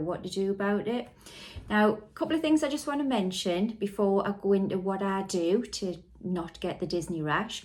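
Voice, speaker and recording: Her tone is dark and mellow, at a medium pitch for a woman. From northeast England. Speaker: vlogger. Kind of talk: vlog talk to camera. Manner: deliberately clear.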